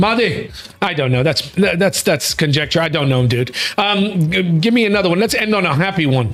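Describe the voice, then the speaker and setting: Against noticeable background noise, a man with an American accent talks at a fairly quick pace in a high pitch, his tone animated and intonation lively while his loudness stays very even. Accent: American accent, noticeable at times. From United States. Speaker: talk show host. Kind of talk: casual chat.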